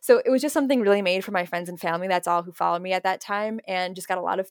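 In a dry, close sound with no echo, a woman with an American accent talks at a medium pitch. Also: very clean recording, silent background. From US Midwest, Chicago suburbs. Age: 20s. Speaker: activist. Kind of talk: interview. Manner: calm, soothing.

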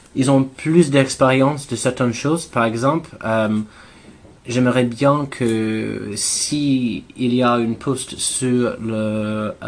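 A man speaks at a very slow pace with a medium pitch and fairly even intonation. Noticeable background noise runs under his voice. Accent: English. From England. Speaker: activist. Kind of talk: interview. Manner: halting.

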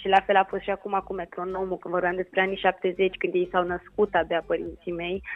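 A woman holds a medium pitch in a monotone, flat intonation, speaking at a moderate pace with hardly any pauses. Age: 20s. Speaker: actress. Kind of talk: interview.

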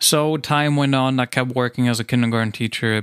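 A man speaks with a German accent at a moderate pace, his pitch medium and his intonation fairly even. The sound is dry and close, with no echo. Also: very clean recording, silent background. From Germany. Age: 30s. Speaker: kindergarten teacher and podcast host. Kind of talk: solo podcast monologue and storytelling.

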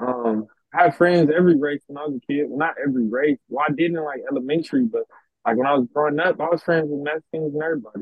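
A man with an American accent at a very fast pace, fairly high in pitch, with ordinary pitch variation. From South Central Los Angeles. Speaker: former gang member interviewee. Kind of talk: casual interview.

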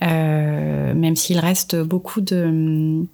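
A woman is speaking here. Her pitch is fairly low. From Morocco, Marrakech. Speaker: entrepreneur, founder of a crafts brand. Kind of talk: interview. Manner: halting, many repetitions and hesitations.

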